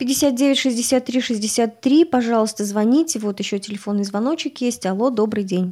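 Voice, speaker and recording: A woman's fairly high voice with a dark, mellow tone, ordinary pitch variation, a fairly slow pace and hardly any pauses. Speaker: radio journalist. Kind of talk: live radio interview. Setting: radio studio.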